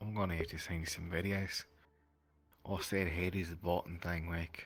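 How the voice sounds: Somewhat breathy and very deep, a man's low voice moves at a moderate pace in a flat, monotone delivery.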